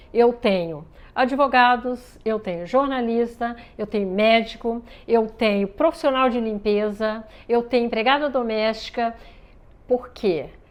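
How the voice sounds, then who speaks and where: At a fairly slow pace, a woman's fairly high voice shows ordinary pitch variation. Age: 60s. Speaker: ballet project founder. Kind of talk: interview. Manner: halting.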